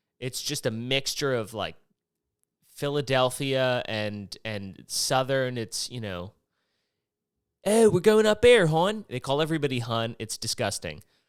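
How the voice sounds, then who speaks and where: A man with an American accent speaks fairly slowly at a medium pitch, with very wide pitch swings and big swings in loudness, on a very clean recording with a silent background. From Maryland, north of Baltimore. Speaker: podcast host. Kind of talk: casual monologue. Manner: rambling, hesitant.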